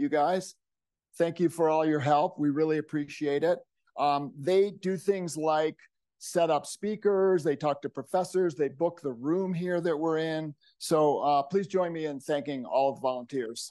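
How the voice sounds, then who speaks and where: The man's voice has a dark, mellow tone and ordinary pitch variation. He talks at a fairly slow pace over a quiet background. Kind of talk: event welcome remarks. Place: hall.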